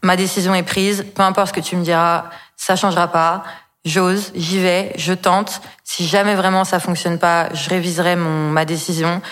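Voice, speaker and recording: Flat, monotone intonation in a woman's medium-pitched voice, at a moderate pace. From Brittany, France. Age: 20s. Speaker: entrepreneur. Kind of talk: personal story in interview. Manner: hesitant with fillers.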